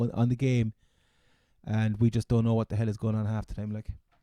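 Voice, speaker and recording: This man, in a Cork accent, has a dark, mellow tone captured in a dry, close sound with no echo. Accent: Cork Irish. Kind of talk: casual podcast banter.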